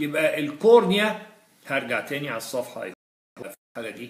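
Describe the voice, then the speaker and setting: Audible room echo surrounds a man with a fairly high pitch. He talks at a fairly slow pace with lively intonation. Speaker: physiology lecturer. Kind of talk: lecture. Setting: live-streamed lecture. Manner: animated.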